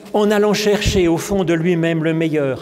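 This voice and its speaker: This man's voice shows ordinary pitch variation. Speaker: preacher. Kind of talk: sermon. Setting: church. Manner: calm, warm and didactic, explaining the parable at an unhurried pace; gently earnest, reflective and pastoral. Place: church. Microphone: podium.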